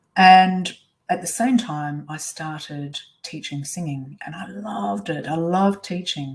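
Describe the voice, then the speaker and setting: In an Australian accent, a woman speaks at a fairly slow pace with a very deep, low pitch, lively intonation, a somewhat breathy sound and big swings in loudness. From Australia (Perth). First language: Swiss German. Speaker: life coach. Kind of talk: webinar presentation.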